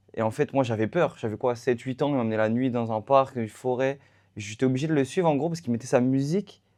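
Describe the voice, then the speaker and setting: Here a man speaks at a fairly quick pace and medium pitch, with ordinary pitch variation. The tone is dark and mellow against a quiet background. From France, Paris suburbs (La Courneuve). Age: 20s. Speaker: athlete. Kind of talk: interview. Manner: hesitant, many fillers.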